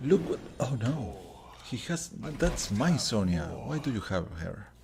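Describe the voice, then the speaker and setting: With vocal fry and very wide pitch swings, a man speaks at a fairly slow pace in a fairly low pitch. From Uruguay. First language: Spanish. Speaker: gaming streamer. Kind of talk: gameplay commentary. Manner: halting.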